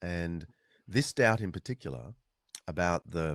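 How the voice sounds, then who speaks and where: A man with an Australian accent and a very deep, low pitch is heard in a dry, close sound with no echo. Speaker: author and historian. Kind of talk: interview. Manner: many fillers and restarts.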